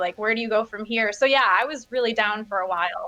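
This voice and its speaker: Amid noticeable background noise, a woman with an American accent speaks at a fairly high pitch with ordinary pitch variation. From Michigan. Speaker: YouTuber and political activist. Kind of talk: casual interview. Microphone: too quiet at first.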